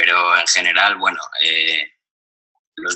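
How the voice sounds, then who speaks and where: A man at a fairly slow pace. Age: young. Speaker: university student. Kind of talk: recorded testimony. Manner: halting, many fillers.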